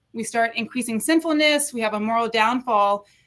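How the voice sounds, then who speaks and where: A woman with a fairly high pitch and a bright, sharp tone talks at a fairly quick pace with ordinary pitch variation. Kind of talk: interview on faith and mental health. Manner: fast.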